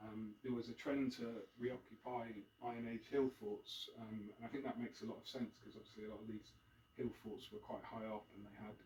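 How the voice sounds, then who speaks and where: A man's somewhat breathy, monotone voice with flat intonation at a fairly quick pace. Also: medium pitch for a man. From Devon, South West England (Plymouth). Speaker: author and former journalist giving a history talk. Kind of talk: public talk. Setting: live event with audience. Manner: hesitant, many fillers.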